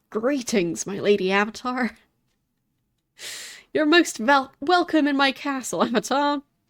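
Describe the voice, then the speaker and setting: A put-on character voice, female-sounding and raspy, high-pitched, at a moderate pace with long, frequent pauses, on a very clean recording with a silent background. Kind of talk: formal, courtly.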